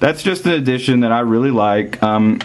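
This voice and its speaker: Over noticeable background noise, a man with a Southern US accent speaks at a moderate pace and medium pitch with ordinary pitch variation. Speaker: soccer gear reviewer. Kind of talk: product review. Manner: casual, with frequent fillers.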